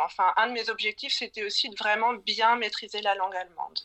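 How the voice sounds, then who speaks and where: A woman talks with ordinary pitch variation. Her voice sits fairly high. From Brittany, France. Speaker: illustrator. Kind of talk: casual interview.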